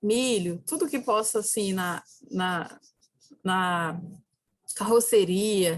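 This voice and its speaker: Here is a woman with an ordinary speaking voice. Her pitch is medium, with ordinary pitch variation. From Brazil, Ceará backlands (sertão). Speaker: philosophy professor. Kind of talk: lecture.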